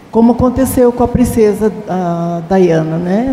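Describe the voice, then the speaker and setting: Against noticeable background noise, a woman speaks fairly slowly with ordinary pitch variation. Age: 70s. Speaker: Bible class participant. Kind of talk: Bible study class discussion.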